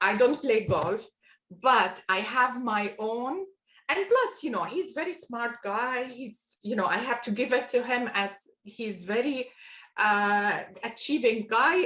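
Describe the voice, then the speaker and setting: A woman's high, bright, sharp voice with a non-native accent, lively intonation and a fairly slow pace. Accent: foreign. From Palestine. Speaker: retired business executive. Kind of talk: interview. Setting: video call.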